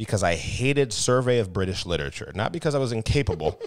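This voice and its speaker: Delivered at a fairly quick pace, the speech has lively intonation and an American accent. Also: man, very clean recording, silent background. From Tampa, Florida. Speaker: podcast co-host. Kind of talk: casual chat. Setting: at a friend's house. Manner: loud.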